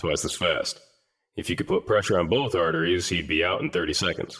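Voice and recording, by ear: Putting on a character voice, a man talks at a fairly quick pace in a low pitch, with lively intonation, a fairly bright tone and a slightly husky edge.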